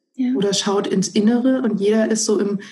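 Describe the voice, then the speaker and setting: Somewhat breathy, a woman speaks at a moderate pace and medium pitch with fairly even intonation. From Germany, northern Hesse. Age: 30s. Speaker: civil servant and stress management trainer. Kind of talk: interview. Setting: remote call.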